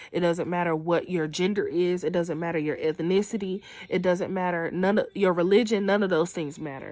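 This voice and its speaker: A plain, everyday voice: a woman, fairly low pitch, fairly even intonation, a fairly quick pace and hardly any pauses. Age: 20s. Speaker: student. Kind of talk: casual chat.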